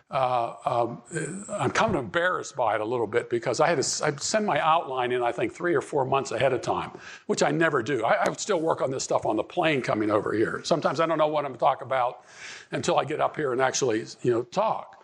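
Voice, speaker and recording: Very fast and with lively intonation, a man talks in a fairly high pitch. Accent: American. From Pittsburgh, Pennsylvania. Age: 70s. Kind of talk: conference talk. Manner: halting, many repetitions and fillers.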